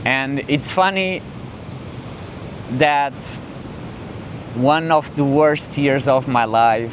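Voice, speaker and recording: Noticeable background noise runs under the recording. A man with a non-native accent speaks at a very slow pace, with ordinary pitch variation. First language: not English. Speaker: content creator. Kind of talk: casual vlog talk to camera. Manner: halting, with fillers and restarts; calm, relaxed.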